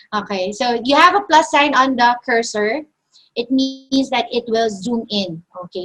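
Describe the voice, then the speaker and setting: A woman speaks at a fairly slow pace. Her voice is high with lively intonation. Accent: Filipino. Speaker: design software instructor. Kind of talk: online tutorial.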